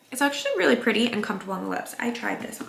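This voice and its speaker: A woman's voice with noticeable background noise. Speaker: beauty vlogger. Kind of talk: casual get-ready-with-me vlog. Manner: chatty, filler-heavy.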